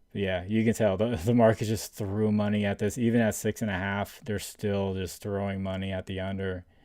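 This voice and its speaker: This man talks at a fairly quick pace in a fairly low pitch, with a dark, mellow tone and flat, monotone intonation. The recording is very clean, with a silent background. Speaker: sports betting streamer. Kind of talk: live stream chat. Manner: halting, many fillers and repeats.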